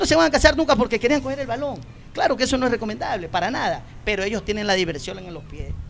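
Over noticeable background noise, the speaker races along at a very fast pace, with very wide pitch swings and big swings in loudness. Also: man, extremely high pitch for a man. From Ecuador, Puerto Bolívar, El Oro province. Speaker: former professional footballer. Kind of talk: casual interview chat. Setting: live broadcast in a plaza with audience.

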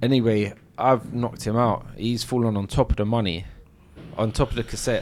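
Speaking at a fairly quick pace, a man with a London accent keeps his medium-pitched voice in fairly even intonation. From South London. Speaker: former armed robber. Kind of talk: interview storytelling.

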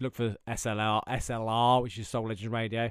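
A man speaks at medium pitch with an English accent. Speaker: podcast host. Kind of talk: casual chat. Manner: fast talker.

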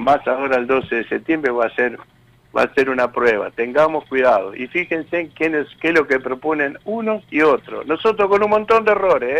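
Lively intonation in a Rioplatense accent. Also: man. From Argentina, Tigre (Buenos Aires province). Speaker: trade union leader. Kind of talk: interview.

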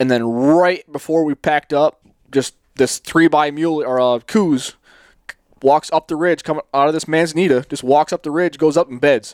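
A man's plain, everyday voice with an American accent, fairly high in pitch, at a moderate pace with fairly even intonation and a dry, close sound with no echo. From US East. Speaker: hunting podcast host. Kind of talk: casual interview chat. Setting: video call.

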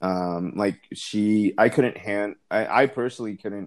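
At a fairly slow pace, a man speaks in a fairly low pitch with fairly even intonation. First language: not English. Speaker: podcast co-host, single parent. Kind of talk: casual chat. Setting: remote call, not face to face.

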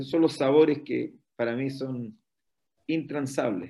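With a Chilean accent, a man speaks at a fairly slow pace and with ordinary pitch variation. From northern Chile, Antofagasta. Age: 50s. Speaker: pastor. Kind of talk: interview testimony.

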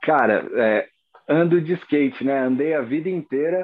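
An ordinary speaking voice from a man, at a fairly slow pace with ordinary pitch variation. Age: 30s. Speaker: fingerboarder and graphic designer. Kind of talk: casual interview chat.

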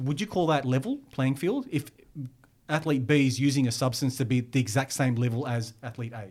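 A man's somewhat breathy voice at a medium pitch, with ordinary pitch variation. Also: fairly quick pace. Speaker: graphic designer and fitness content creator. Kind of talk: casual chat.

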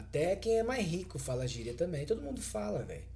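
Audible room echo colors this man's voice. His pace is moderate. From São Paulo, Brazil. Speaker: podcast co-host. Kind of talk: casual chat.

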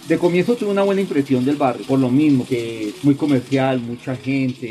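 A man's fairly high voice, lively in intonation and fairly quick, over noticeable background noise. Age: 40s. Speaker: leather craftsman and shoe repairer. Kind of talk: interview testimony.

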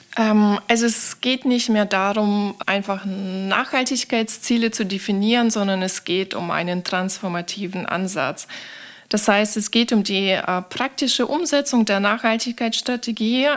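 She has an unremarkable speaking voice at medium pitch for a woman. Her pace is fairly slow and her pitch varies in an ordinary way. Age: 30s. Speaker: sustainability manager. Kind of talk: interview.

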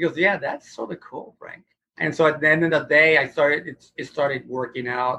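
A man's bright, sharp, fairly high voice at a fairly quick pace, with fairly even intonation and big swings in loudness. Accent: American. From Houston, Texas. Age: 60s. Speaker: guitarist and guitar teacher. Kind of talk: casual interview chat.

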